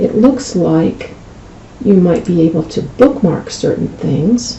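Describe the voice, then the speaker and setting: Over noticeable background noise, a woman with a fairly low pitch speaks at a fairly slow pace with lively intonation. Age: 60s. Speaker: medical coding instructor. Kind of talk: screen-recorded tutorial. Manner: casual, conversational.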